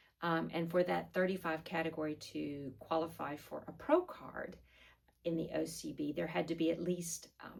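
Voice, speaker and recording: Vocal fry colors a woman's speech, delivered at a moderate pace with ordinary pitch variation. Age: 60s. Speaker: fitness vlogger and figure competitor. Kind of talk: vlog monologue. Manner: casual with frequent fillers.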